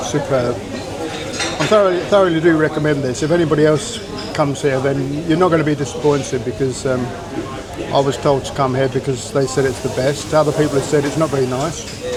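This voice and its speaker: Over noticeable background noise and audible room echo, a man talks at a fairly quick pace with a fairly high pitch and ordinary pitch variation. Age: 60s. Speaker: retired travel vlogger. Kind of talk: casual vlog narration. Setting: restaurant, then outdoors on the street. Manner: halting, with many fillers.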